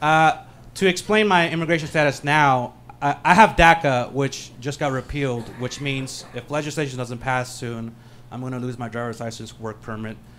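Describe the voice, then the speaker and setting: With a Californian accent, a man talks at a fairly quick pace in a medium pitch, his loudness swinging widely. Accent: Californian American. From San Francisco, US (Peruvian-born). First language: Spanish. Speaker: stand-up comedian. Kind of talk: stand-up.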